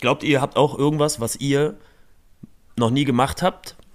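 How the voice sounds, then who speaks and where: An unremarkable speaking voice from a man, fairly quick, fairly high-pitched and ordinary in its pitch variation. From northern Germany, Rostock. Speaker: podcast host. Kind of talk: casual chat.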